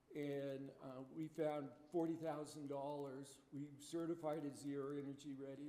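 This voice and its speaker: Audible room echo surrounds a man whose fairly high voice stays monotone and flat as he talks at a fairly slow pace. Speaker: building energy consultant, trainer. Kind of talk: training presentation. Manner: halting, with many fillers.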